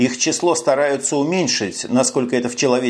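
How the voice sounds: Ordinary pitch variation from a natural reading voice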